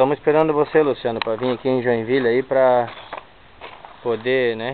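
Medium pitch from a man at a moderate pace, monotone and flat, with noticeable background noise. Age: 20s. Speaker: car owner making a video application. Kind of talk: casual video walkthrough.

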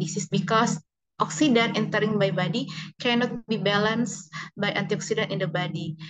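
A woman speaks at a moderate pace with an Indonesian accent and ordinary pitch variation. Light background noise is present. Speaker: researcher presenting at conference; conference presenter. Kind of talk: conference presentation. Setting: video call. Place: home room. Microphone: video call.

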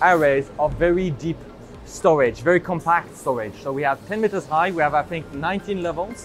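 A man talks at a moderate pace while music sounds in the background. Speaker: presenter. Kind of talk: tour commentary. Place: factory.

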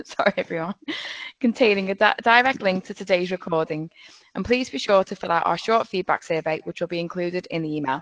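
A woman talks fairly quickly with ordinary pitch variation. The sound is dry with no echo, and the background is quiet. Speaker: webinar host and facilitator; webinar host, facilitator. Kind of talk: webinar presentation. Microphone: video call.

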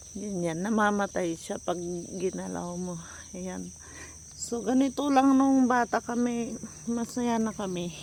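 A plain, everyday voice from a woman at medium pitch, with ordinary pitch variation, big swings in loudness and a fairly slow pace. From Philippines, rural province. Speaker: vlogger. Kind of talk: casual walking vlog. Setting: outdoors, rural road. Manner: chatty with frequent laughs.

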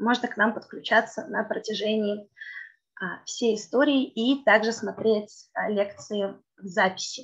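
Against a quiet background, a woman with a fairly high pitch and a somewhat breathy voice shows big swings in loudness. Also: ordinary pitch variation, fairly slow pace. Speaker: event host. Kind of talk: formal event introduction. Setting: video call. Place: office. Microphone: webcam.

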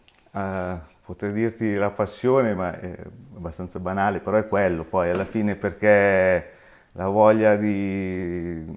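A man talks in a fairly low, monotone voice with flat intonation. His pace is fairly slow, with long, frequent pauses. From Milan, northern Italy. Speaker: independent optician, shop owner; interviewee. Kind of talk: interview. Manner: halting. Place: home room.

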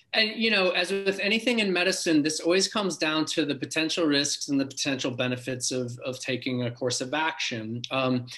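Talking at a fairly quick pace with hardly any pauses, a man uses lively intonation. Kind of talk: interview answer. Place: home room. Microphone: video call.

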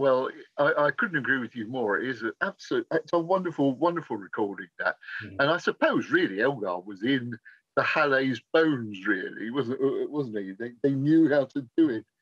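Against a quiet background, a man with an English accent speaks in a fairly high pitch with lively intonation. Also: moderate pace, dry sound with no echo. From England. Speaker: interviewer. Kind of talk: interview. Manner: polite, formal. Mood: warm, enthusiastic. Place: home room. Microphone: video call.

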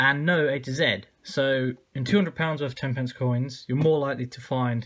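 A man is talking here. The rise and fall of his pitch is ordinary. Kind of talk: casual commentary. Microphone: phone near.

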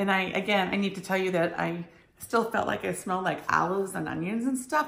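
Lively intonation comes through with audible room echo. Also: woman. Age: 50s. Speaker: vlogger sharing cancer journey; vlogger. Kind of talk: personal vlog monologue. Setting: self-recorded video. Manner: casual, hesitant with many ums. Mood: earnest storytelling about hospital visit. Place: kitchen. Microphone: phone near.

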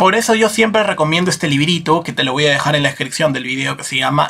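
A man's voice with ordinary pitch variation. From Peru. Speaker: political YouTuber, libertarian commentator. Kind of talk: political commentary monologue. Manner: animated. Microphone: webcam.

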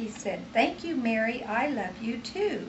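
A woman talks at a fairly slow pace as noticeable background noise carries on. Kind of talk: storytelling to children. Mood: warm, gentle. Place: home room. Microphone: old recording.

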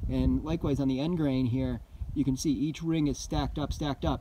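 Speaking at a moderate pace with ordinary pitch variation, a man has a dark, mellow tone in a dry sound with no echo. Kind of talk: casual vlog chat. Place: open country. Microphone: phone near.

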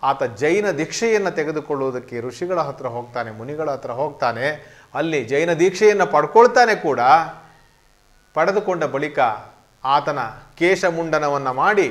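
The background is silent apart from a man. His intonation is lively. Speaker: scholar explaining poetry. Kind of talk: lecture. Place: studio. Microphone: lapel.

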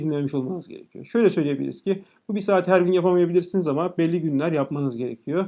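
Talking at a very fast pace, a man with a high voice and a dark, mellow tone shows ordinary pitch variation against a quiet background. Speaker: educator, YouTuber. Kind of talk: tutorial. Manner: casual, direct address to viewers.

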